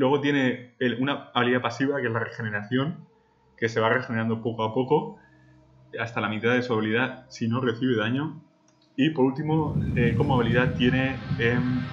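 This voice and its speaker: The speaker is a man. He moves at a fairly quick pace with fairly even intonation. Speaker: gaming video creator. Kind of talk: casual gameplay commentary.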